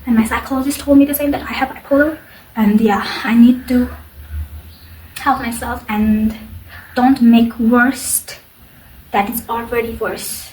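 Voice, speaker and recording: Fairly high in pitch, a woman talks at a fairly slow pace with fairly even intonation. Long, frequent pauses break up her speech over noticeable background noise. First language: not English. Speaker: mental health vlogger. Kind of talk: personal testimony. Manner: halting.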